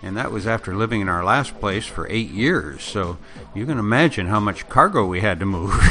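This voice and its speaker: A man with a fairly low voice talks fairly quickly and with lively intonation over noticeable background noise. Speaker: podcast host. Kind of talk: monologue introduction.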